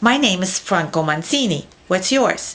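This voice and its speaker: A woman's put-on character voice, medium in pitch, at a moderate pace. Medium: read story.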